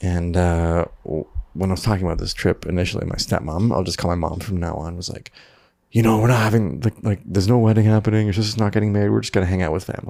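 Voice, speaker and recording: Soft-spoken and very fast, a man with a Canadian accent has a very deep, low pitch, a dark, mellow tone and ordinary pitch variation. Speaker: videographer. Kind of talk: personal vlog diary. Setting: at home at night.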